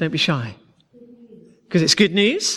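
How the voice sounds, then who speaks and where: The voice moves at a moderate pace with very wide pitch swings. Vocal fry runs through it. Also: man. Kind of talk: teaching talk to a church group. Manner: halting, with frequent fillers and repetitions.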